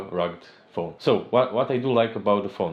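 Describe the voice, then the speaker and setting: A man with a non-native accent. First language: not English. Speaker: tech reviewer, software engineer. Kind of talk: product review. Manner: slightly halting.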